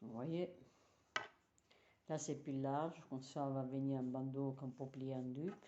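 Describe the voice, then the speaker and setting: A woman speaks in a very deep, low voice with an Italian accent and fairly even intonation. Room echo is audible. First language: Italian (speaking French). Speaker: knitting teacher. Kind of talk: tutorial.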